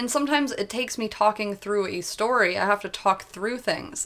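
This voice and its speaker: Against noticeable background noise, a woman speaks at a very fast pace with medium pitch. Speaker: vlogger. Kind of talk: personal rant vlog. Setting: at home. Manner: animated.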